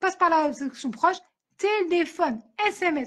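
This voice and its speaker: Loud, animated tone with lively intonation. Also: woman. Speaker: author and podcaster. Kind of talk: interview.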